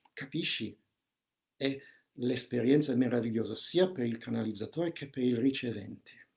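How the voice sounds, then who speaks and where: Here a man speaks at a moderate pace and medium pitch with ordinary pitch variation. Long, frequent pauses break up his speech. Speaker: holistic counselor and shaman giving a seminar. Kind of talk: live seminar with spiritual and meditative content. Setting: live online video stream.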